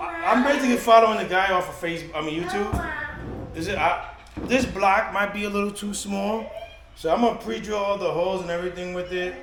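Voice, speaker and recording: Loud and quick, a man with a high pitch talks with lively intonation amid noticeable background noise and audible room echo. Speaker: kayak fishing vlogger. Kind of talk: casual DIY vlog. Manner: halting, with many fillers.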